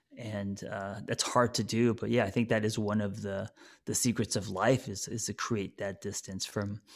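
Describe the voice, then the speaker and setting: A normal speaking voice at a moderate pace, with fairly even intonation, on a very clean recording with a silent background. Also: man. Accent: American. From United States. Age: 40s. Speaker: therapist and author. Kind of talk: interview. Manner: casual, relaxed.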